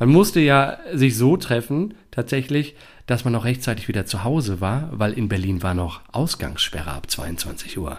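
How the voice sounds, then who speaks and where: On a very clean recording with a silent background, a man speaks at a fairly slow pace at a medium pitch, with vocal fry and very wide pitch swings. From Dortmund, Ruhr area, Germany. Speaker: actor. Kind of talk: casual interview. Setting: apartment, sharing one microphone with partner.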